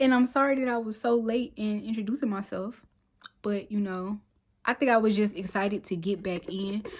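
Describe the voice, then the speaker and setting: A woman with fairly high pitch sounds somewhat breathy, speaking at a moderate pace with ordinary pitch variation. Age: 30s. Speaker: lifestyle vlogger. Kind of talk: casual vlog talk.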